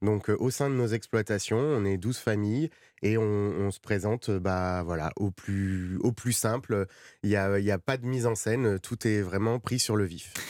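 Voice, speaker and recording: Man at a fairly low pitch, fairly slow, with ordinary pitch variation, on a very clean recording with a silent background. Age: 30s. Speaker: cattle farmer. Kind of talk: radio interview. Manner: halting.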